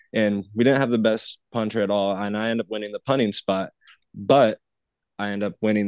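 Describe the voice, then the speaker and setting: A man's fairly low, plain, everyday voice at a fairly quick pace, dry and close with no echo, over a quiet background. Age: 20s. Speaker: special teams coach, former college kicker. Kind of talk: casual interview chat.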